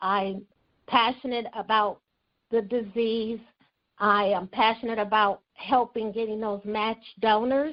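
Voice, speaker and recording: A woman with an American accent speaks at a fairly high pitch. Her intonation is monotone and flat, and her pace is fairly slow. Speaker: blood drive coordinator. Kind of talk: radio interview.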